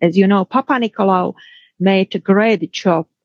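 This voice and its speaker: Recorded with a dry, close sound and no echo, a woman with a Czech accent speaks at a medium pitch with ordinary pitch variation. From Czech Republic. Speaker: pathologist and professor. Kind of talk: interview.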